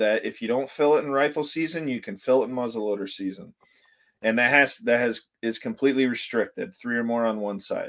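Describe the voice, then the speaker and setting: A man with an American accent speaks fairly quickly in a normal speaking voice of medium pitch and ordinary pitch variation. The recording is very clean, with a silent background. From Northern Michigan. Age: 30s. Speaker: hunting YouTuber. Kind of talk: casual interview.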